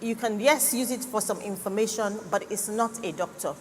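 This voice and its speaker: Noticeable background noise fills the recording. The delivery keeps a moderate pace, and its pitch varies in an ordinary way. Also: woman. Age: 60s. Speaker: cancer doctor. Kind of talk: health talk at church conference.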